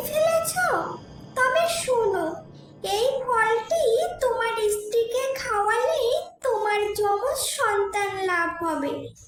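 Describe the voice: This is a cartoonish character voice, pitched extremely high. It moves at a very slow pace with a slight echo.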